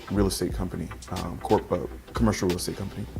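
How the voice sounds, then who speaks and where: Over music in the background and with audible room echo, a man talks in a very deep, low pitch with ordinary pitch variation. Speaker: founder of a men's website. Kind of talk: interview. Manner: soft-spoken.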